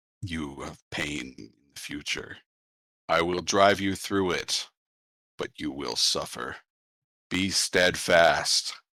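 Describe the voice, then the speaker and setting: A man puts on a character voice, raspy and very deep in pitch. He speaks at a very slow pace. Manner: solemn, commanding.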